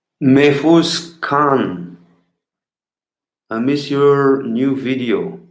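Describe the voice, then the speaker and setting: A man with a Bulgarian accent and a fairly high pitch speaks very slowly, with long, frequent pauses. His pitch varies in an ordinary way, and the room echo is audible. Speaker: street clown performer. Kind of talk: live stream Q&A. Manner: loud and clear; halting, many fillers. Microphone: better old sound equipment, favorite microphone.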